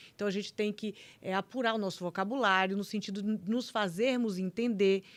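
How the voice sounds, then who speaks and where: This woman talks at a fairly quick pace with fairly even intonation. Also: medium pitch for a woman, very clean recording, silent background. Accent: Bahian. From Bahia, Brazil. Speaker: public prosecutor. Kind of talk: casual chat.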